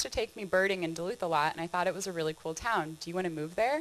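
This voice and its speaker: A woman speaks with a California accent. Her pitch varies in an ordinary way. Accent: obvious California. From California, San Diego. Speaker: trail director, presenter. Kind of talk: conference presentation. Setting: stage with audience. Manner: fast.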